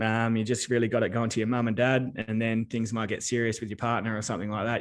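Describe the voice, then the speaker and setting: With an Australian accent, a man speaks at a very fast pace. His voice is fairly low, and the background is quiet. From Western Australia. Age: 30s. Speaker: accountant and business adviser. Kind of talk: interview.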